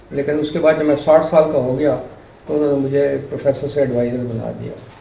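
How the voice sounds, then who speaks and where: Amid noticeable background noise and audible room echo, a man speaks at a fairly high pitch and a moderate pace in a monotone, flat delivery. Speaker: retired electronics professor. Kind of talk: interview.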